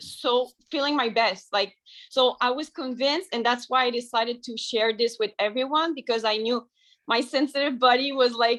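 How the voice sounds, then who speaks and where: Delivery comes at a moderate pace. It carries a French accent. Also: woman, high pitch for a woman, fairly even intonation. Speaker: raw vegan lifestyle sharer. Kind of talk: testimony.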